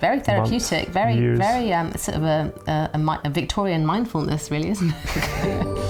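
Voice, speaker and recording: A woman speaks at a fairly quick pace in a fairly low pitch with very wide pitch swings. Music plays in the background. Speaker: country house owner. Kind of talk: casual talk to camera. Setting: indoors in a historic house.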